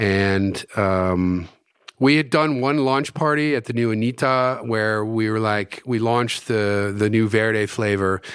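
An American-accented man at medium pitch, with ordinary pitch variation and a fairly slow pace. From US East Coast. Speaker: hot sauce maker and entrepreneur. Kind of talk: casual interview chat.

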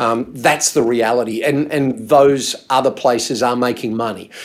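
Here a man speaks with an Australian accent at a moderate pace. His pitch is medium and his intonation fairly even. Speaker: insurance adviser. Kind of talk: casual chat. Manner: halting.

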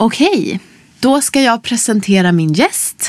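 A woman speaks at a moderate pace with lively intonation. She has a plain, everyday voice. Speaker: podcast host. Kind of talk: casual interview chat. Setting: studio.

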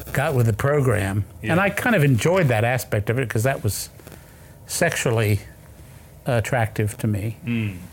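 A man talks at a moderate pace in a medium-pitched, somewhat breathy voice. His intonation is lively and his loudness very even. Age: 70s. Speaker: author. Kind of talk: interview. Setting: studio. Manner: halting.

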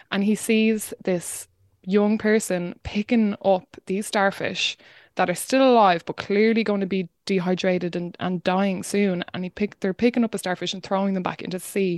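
With an Irish accent, a woman speaks at a medium pitch and moderate pace with fairly even intonation, in a very clean recording with a silent background and a dry, close sound with no echo. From Ireland, rural County Wexford. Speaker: climate podcast host and activist. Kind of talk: interview.

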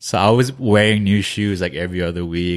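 A man speaks fairly quickly in a New Jersey accent with ordinary pitch variation. The background is quiet. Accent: American (New Jersey). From New Jersey, US (Korean American family). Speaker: streetwear brand founder. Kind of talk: casual interview chat.

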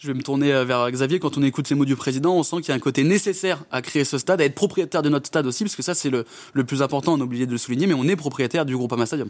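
A man's fairly high voice at a very fast pace, with hardly any pauses and ordinary pitch variation. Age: 20s. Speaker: podcast host. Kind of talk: casual interview.

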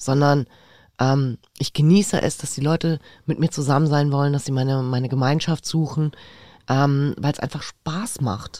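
In a dry, close sound with no echo, a woman with a very deep, low pitch and a dark, mellow tone speaks at a moderate pace with ordinary pitch variation. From Berlin, Charlottenburg. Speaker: podcast co-host. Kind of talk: casual chat. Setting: studio.

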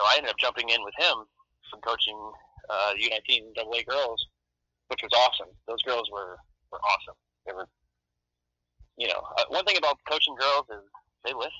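At a moderate pace, a man speaks with long, frequent pauses and big swings in loudness. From Colorado. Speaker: former junior hockey player and youth coach. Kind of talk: interview.

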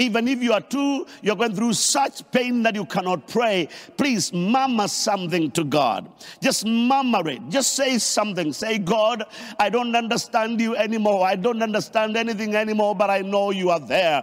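A man talks at a moderate pace with ordinary pitch variation. His pitch sits high. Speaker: preacher. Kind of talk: online sermon, preaching with prayer. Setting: online service, remote audience. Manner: fervent, emphatic, commanding, repetitive.

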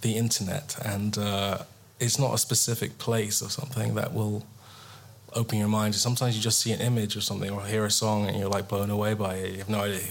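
A man speaks with an English accent and fairly even intonation. The room echo is audible. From England. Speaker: guitarist. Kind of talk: casual chat. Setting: stage with audience.

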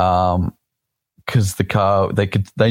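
In an Australian accent, a man talks at a moderate pace with a fairly low pitch. The very clean recording has a silent background and a dry, close sound with no echo. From South Australia. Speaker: drift driver. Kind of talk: casual interview. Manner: halting, many fillers.

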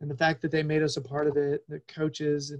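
Heard dry and close with no echo, a man with a plain, everyday voice and fairly high pitch speaks at a moderate pace. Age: 40s. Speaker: soccer podcast host. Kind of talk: casual chat.

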